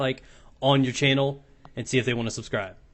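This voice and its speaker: The speaker is a man with a medium pitch. He talks very fast. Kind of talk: casual gaming intro to camera. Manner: upbeat.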